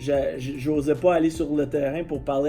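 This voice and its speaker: With music in the background, a man in a Quebec accent talks at a moderate pace and a fairly high pitch, his intonation monotone and flat. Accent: Québécois French. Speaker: football coach. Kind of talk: interview. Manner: talkative, many hesitations.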